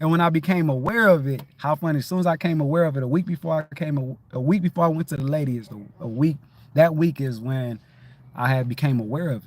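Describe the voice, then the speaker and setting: A man talks at a very fast pace, fairly high in pitch and somewhat breathy. His pitch varies in an ordinary way, and his loudness swings widely. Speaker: livestream host. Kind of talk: casual livestream talk. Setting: livestream. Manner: high-energy.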